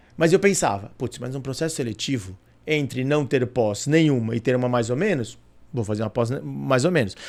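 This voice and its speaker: A man's animated, medium-pitched voice with lively intonation at a moderate pace. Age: 40s. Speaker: corporate director. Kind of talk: interview.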